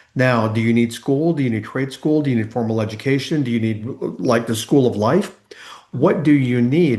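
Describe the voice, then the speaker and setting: At a fairly quick pace, a man uses an ordinary speaking voice, medium in pitch with ordinary pitch variation. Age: 60s. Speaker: transformation coach. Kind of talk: interview conversation.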